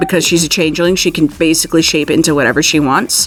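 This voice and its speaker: A woman with a fairly low pitch, music in the background. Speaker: voice actor. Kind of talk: interview answer. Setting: studio.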